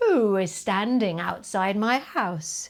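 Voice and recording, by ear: A woman uses a put-on character voice at a medium pitch. Her pace is very slow.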